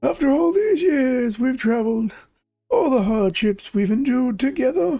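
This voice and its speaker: A put-on character voice, fairly high in pitch, delivered at a moderate pace. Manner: sentimental, reflective.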